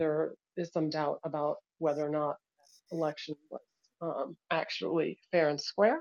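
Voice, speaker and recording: With an ordinary speaking voice, a woman talks at a fairly low pitch and a moderate pace in a dry, close sound with no echo. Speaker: audience participant asking questions. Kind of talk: casual Q&A. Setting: online call, speaking from Guatemala.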